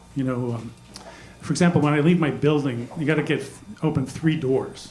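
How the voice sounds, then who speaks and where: A man with a fairly high pitch speaks at a fairly quick pace with ordinary pitch variation, with audible room echo and noticeable background noise. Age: 60s. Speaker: stand-up comedian. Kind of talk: stand-up. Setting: stage with audience. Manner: hesitant, many fillers.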